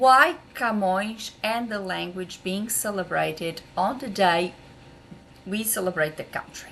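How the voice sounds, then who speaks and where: The speaker talks with a Portuguese accent at a fairly slow pace. The pitch variation is ordinary. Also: woman, medium pitch for a woman. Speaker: translator. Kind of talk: educational vlog. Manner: hesitant, many fillers.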